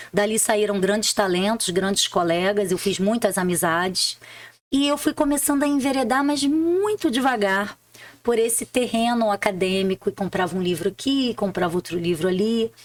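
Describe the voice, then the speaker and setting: Speaking with a Rio de Janeiro accent, a woman keeps a very even loudness and a medium pitch, with lively intonation at a moderate pace. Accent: Rio de Janeiro (carioca). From Rio de Janeiro, Brazil. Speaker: public prosecutor and author. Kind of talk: interview, personal story.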